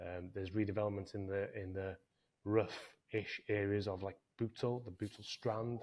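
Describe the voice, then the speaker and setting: The speaker has a Welsh accent and a moderate pace. The intonation stays monotone and flat. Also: man, fairly low pitch for a man. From North Wales. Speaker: property business owner. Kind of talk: podcast interview.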